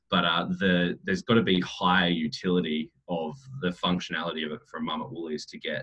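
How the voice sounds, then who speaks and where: Fairly quick and in an Australian accent, a man with a very deep, low pitch talks in big swings of loudness. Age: 30s. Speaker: cryptocurrency entrepreneur. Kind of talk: interview. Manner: frequent fillers and repetitions.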